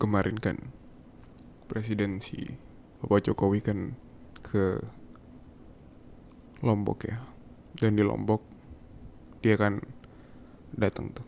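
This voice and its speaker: Speaking at a very slow pace with long, frequent pauses, a man shows vocal fry and ordinary pitch variation. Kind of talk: ASMR boyfriend roleplay. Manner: soft-spoken, affectionate.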